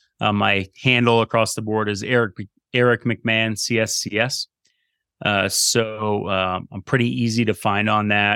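At a fairly slow pace, this voice has a bright, sharp tone, fairly even intonation and an American accent, recorded with a dry, close sound and no echo. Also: man. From Vermont, US. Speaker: strength and conditioning coach. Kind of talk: interview. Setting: video call.

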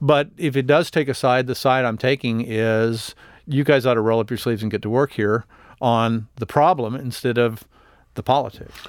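On a very clean recording with a silent background, a man with an American accent uses a normal speaking voice at medium pitch, moderate pace and fairly even intonation. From Texas, El Paso. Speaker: political journalist. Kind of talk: casual interview.

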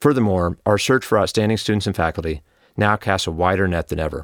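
In an ordinary speaking voice, a man with an American accent talks at a fairly quick pace, his fairly low pitch showing ordinary pitch variation, on a very clean recording with a silent background and a dry, close sound with no echo. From Oklahoma. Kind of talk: scripted address.

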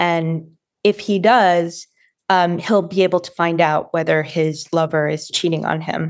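This is an unremarkable speaking voice, a woman with an American accent and a fairly low pitch. She talks at a fairly slow pace with fairly even intonation over a very clean recording with a silent background. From Massachusetts (Watertown, Boston area). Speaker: professor. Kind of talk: interview.

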